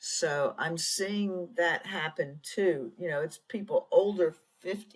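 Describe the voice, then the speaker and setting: In a somewhat breathy voice of medium pitch, a woman speaks at a very slow pace with ordinary pitch variation. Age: 60s. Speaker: tech founder and consultant. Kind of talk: interview. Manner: halting.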